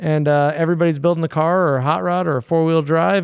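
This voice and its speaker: This voice has an American accent and a very fast pace. The intonation stays fairly even. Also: man. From San Diego, California. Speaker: hot rod fabrication shop owner. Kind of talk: casual chat.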